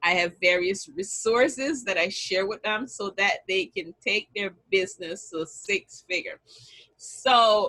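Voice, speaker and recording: Speaking with a Jamaican accent, a woman talks at a very slow pace in a fairly high pitch. Her tone is bright and sharp, and her intonation is lively. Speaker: business strategist and bookkeeper. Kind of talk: online summit talk.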